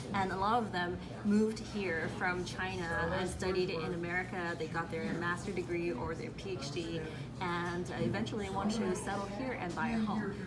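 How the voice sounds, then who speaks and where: Speaking at a moderate pace with a Cantonese accent and ordinary pitch variation, this voice carries audible room echo, with music playing in the background. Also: woman, fairly low pitch for a woman. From Hong Kong. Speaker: real estate agent. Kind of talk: radio interview.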